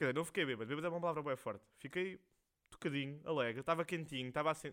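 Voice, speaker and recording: Against a silent background, this very clean recording captures a man talking. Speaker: podcast host. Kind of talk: casual monologue. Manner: rambling, slangy.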